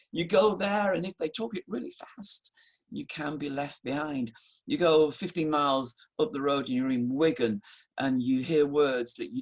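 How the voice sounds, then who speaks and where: With a northern English accent, this speaker talks at a moderate pace. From northern England (Halifax, Yorkshire). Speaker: pastor. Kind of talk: sermon. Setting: recorded online service, no live congregation.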